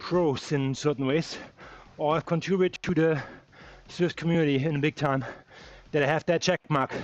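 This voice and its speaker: This speaker has a German accent. The pace is moderate. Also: man. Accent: German accent, mistaken for South African. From Germany. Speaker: cycling live streamer. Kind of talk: live race commentary. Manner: animated.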